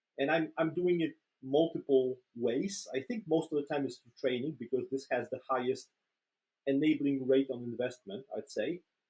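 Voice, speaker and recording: Speaking at a moderate pace, a man with a fairly high pitch and ordinary pitch variation shows big swings in loudness. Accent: Polish. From Poland. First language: Polish. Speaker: agile trainer and coach. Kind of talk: casual interview. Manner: hesitant, many fillers and repetitions.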